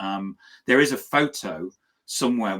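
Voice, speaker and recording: Speaking with a British accent, a man is captured on a very clean recording with a silent background. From Britain. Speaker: business talk show host. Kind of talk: casual chat.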